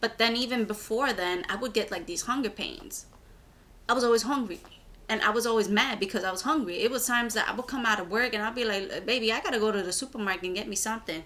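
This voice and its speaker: In a New York accent, a woman talks at a very fast pace with an animated tone. Her fairly high pitch shows ordinary pitch variation. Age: 20s. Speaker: vlogger. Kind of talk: casual vlog monologue. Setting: filming herself on camera. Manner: animated, rambling.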